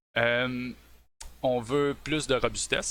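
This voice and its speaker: A man with a bright, sharp tone in a very clean recording with a silent background. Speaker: software developer. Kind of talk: tech presentation on a live stream. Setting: live stream. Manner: hesitant, many fillers.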